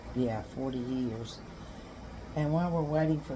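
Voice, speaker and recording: With a North Carolina accent, a woman speaks at a very deep, low pitch with ordinary pitch variation, amid audible room echo and noticeable background noise. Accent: Southern US (North Carolina). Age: 70s. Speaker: homesteading vlogger, retired history teacher. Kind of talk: casual vlog talk.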